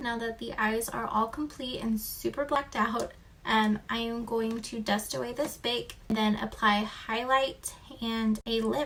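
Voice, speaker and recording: A woman talks at a fairly slow pace in a fairly high pitch. Her intonation is fairly even, with noticeable background noise behind her. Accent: American. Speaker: beauty vlogger. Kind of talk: makeup tutorial.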